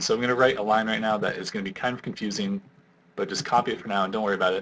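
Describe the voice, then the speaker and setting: A man's fairly low voice races at a very fast pace, its intonation fairly even. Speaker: programming tutor. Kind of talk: tutorial. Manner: casual, filler words.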